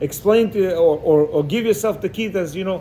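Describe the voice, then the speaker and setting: Delivered at a moderate pace, the voice has a dark, mellow tone and ordinary pitch variation. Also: man. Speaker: religious teacher. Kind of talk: lecture. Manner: loud when excited; animated.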